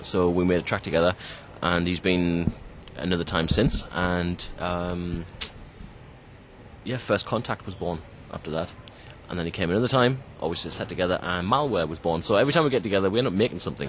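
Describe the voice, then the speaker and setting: Over noticeable background noise, a man with a very deep, low voice moves at a fairly quick pace, leaving long, frequent pauses. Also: ordinary pitch variation. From northeast England, Sunderland. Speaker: trance DJ and producer. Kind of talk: casual interview. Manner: hesitant, many fillers and repeats.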